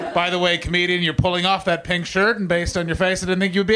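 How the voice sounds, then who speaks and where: Amid noticeable background noise and audible room echo, a man speaks in a raised, projected voice. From Canada. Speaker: stand-up comedian. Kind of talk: stand-up. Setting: stage with audience.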